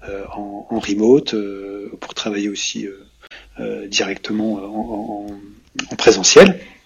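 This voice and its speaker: Over noticeable background noise, a man with a fairly low pitch talks at a very slow pace. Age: 40s. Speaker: web agency founder. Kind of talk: casual panel discussion. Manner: halting, many repetitions.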